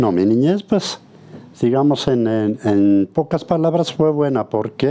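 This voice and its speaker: With a dark, mellow tone, a man talks at a fairly slow pace using lively intonation. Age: 60s. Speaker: woodworker. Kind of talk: interview testimony. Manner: halting, repetitive.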